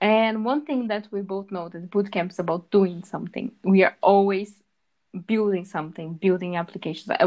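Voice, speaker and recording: A woman talks in an unremarkable speaking voice at medium pitch. Her pace is moderate and her pitch varies in an ordinary way. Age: 20s. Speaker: aspiring web developer, podcast co-host. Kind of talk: casual chat.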